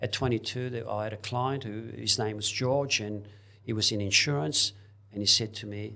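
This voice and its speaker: Recorded very cleanly against a silent background, a man with a fairly low pitch speaks at a moderate pace in a bright, sharp tone with fairly even intonation. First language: not English. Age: 70s. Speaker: property investor, former hairdresser. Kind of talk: interview.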